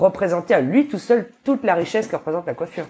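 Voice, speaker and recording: A woman's fairly high voice, an ordinary speaking voice with lively intonation. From New Caledonia. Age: 30s. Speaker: entrepreneur. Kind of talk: interview.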